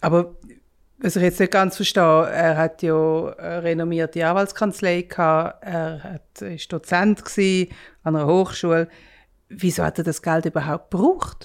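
A woman's fairly low voice with a Swiss accent and fairly even intonation, at a fairly slow pace in a very clean recording with a silent background. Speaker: podcast host, journalist. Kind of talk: conversational storytelling.

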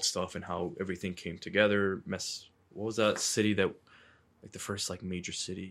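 A man with an unremarkable speaking voice talks at a moderate pace and fairly low pitch in a very clean recording with a silent background. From US Northeast, Medford, Massachusetts. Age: 20s. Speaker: podcast guest, Palestinian American. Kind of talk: casual chat. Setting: studio.

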